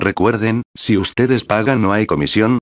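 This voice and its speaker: The recording has a dry, close sound with no echo. An unremarkable speaking voice moves at a moderate pace with ordinary pitch variation. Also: man. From Peru. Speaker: graphic designer and tutorial youtuber. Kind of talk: tutorial.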